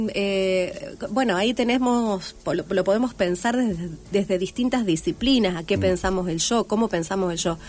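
At a moderate pace with hardly any pauses, a woman speaks at a medium pitch with ordinary pitch variation. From Argentina, Santa Fe province (Rafaela). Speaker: writer and teacher. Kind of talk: radio interview. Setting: radio studio. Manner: halting.

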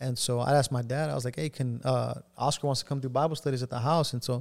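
A man talks with an American accent. His pitch variation is ordinary. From South Texas (Rio Grande Valley). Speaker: pastor. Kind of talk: testimony. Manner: halting, many fillers.

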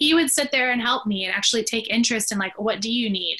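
A woman with a Canadian accent, fairly high-pitched and very fast, over noticeable background noise. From Canada, British Columbia. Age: 30s. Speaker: caregiver and support network co-founder. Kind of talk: casual interview chat.

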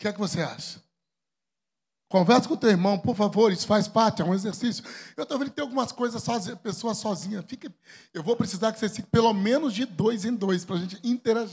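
On a very clean recording with a silent background, a man talks at a very fast pace. His pitch is high, with ordinary variation. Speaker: pastor. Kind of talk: sermon. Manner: animated.

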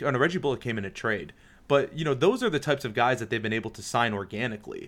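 A man with an American accent, medium pitch, ordinary pitch variation and an unremarkable speaking voice, on a very clean recording with a silent background. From Detroit, Michigan. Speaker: basketball writer. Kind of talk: casual chat.

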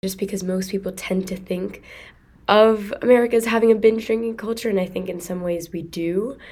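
A woman with an ordinary speaking voice at a medium pitch, fairly even intonation and a fairly quick pace. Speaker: student podcast host. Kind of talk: interview.

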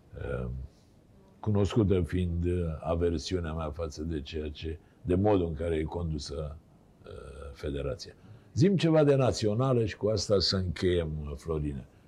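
Very deep and low in pitch, this man's somewhat breathy voice has a dark, mellow tone, lively intonation and a fairly slow pace broken by long, frequent pauses. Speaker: TV talk show host. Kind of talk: casual interview chat. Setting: studio.

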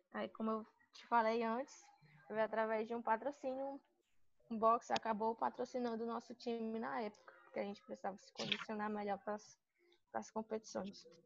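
At a moderate pace, a woman with a fairly high pitch speaks with fairly even intonation, big swings in loudness and long, frequent pauses. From Sobral, Ceará, Brazil. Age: 20s. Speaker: physical education student and gym intern. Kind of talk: personal testimony interview.

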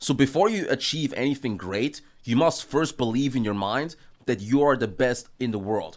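Here a man speaks with an American accent at medium pitch. His pace is moderate and his pitch varies an ordinary amount. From Austria. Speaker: business and mindset coach. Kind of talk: debate. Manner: casual, animated.

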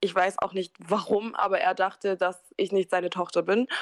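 A woman's medium-pitched, monotone voice with flat intonation at a moderate pace, dry and close with no echo. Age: 20s. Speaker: care worker, interview guest. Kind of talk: personal testimony.

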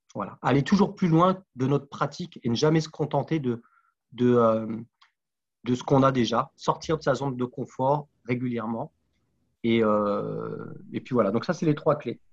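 A man of medium pitch speaks at a fairly slow pace. He leaves long, frequent pauses and uses ordinary pitch variation. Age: 40s. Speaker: sports coach and sophrologist. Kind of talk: podcast interview. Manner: halting, many repetitions.

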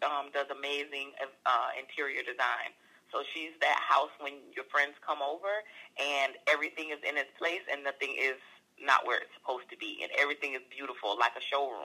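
Her tone is bright and sharp. This woman's pitch is very deep and low, and she goes at a moderate pace. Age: 30s. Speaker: entrepreneur and paralegal. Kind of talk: casual chat.

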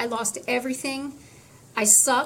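Through noticeable background noise and audible room echo, a woman speaks with fairly even intonation. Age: 50s. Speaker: patient advocate. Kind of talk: interview.

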